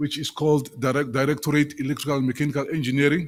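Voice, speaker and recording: A man talks with monotone, flat intonation. The recording is very clean, with a silent background. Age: 60s. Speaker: government official. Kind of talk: presentation. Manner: halting.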